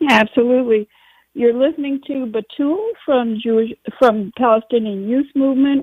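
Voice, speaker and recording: The intonation holds fairly even. It is an ordinary speaking voice at a moderate pace. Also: woman. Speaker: radio host. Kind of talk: radio interview.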